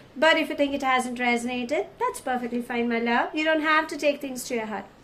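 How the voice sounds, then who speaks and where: A woman speaking very fast at a high pitch with ordinary pitch variation, noticeable background noise behind her. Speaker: tarot card reader. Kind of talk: tarot reading. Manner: warm and affectionate.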